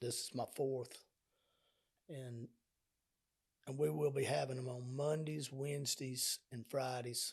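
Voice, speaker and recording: The man's voice is somewhat breathy and sits at a medium pitch. He goes at a fairly slow pace, with long, frequent pauses. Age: 60s. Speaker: spiritual podcast host. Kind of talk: spiritual teaching monologue. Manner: halting; talkative.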